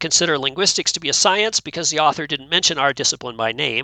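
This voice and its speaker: A man talks at a very fast pace. His pitch is fairly high, with ordinary pitch variation. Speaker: linguist, podcast co-host. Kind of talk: casual roundtable chat.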